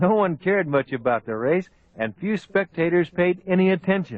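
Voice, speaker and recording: Lively intonation marks a man's normal speaking voice, delivered at a moderate pace. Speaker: old time radio host / narrator. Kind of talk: old time radio documentary narration. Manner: clear, storytelling, measured.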